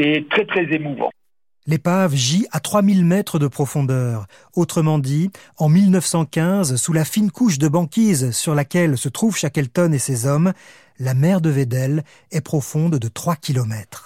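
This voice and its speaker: In a very clean recording with a silent background, a man speaks at a very slow pace in a dramatic tone. His fairly high voice has lively intonation and a dry, close sound with no echo. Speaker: podcast narrator. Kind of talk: history documentary narration. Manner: measured, storytelling tone; vivid, dramatic.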